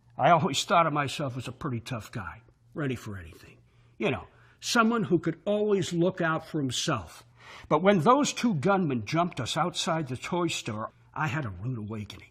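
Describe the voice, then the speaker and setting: With a fairly high pitch and vocal fry, a man speaks at a moderate pace, his pitch swinging very widely and his loudness rising and falling in big swings. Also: very clean recording, silent background. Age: 50s. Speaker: sales pitch narrator. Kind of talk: sales pitch.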